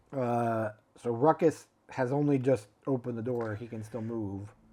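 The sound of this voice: An unforced reading voice is heard throughout.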